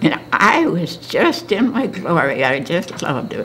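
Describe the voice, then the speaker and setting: A woman with an American accent against noticeable background noise. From northern Michigan (Charlevoix). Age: 90s. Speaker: oral history interviewee. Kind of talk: oral history interview. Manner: halting.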